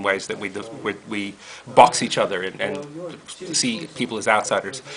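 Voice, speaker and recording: There is noticeable background noise. Over it, a man talks with an American accent. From US, Brooklyn, New York. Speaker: rabbi and interfaith educator. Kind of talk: casual interview. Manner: halting, many fillers.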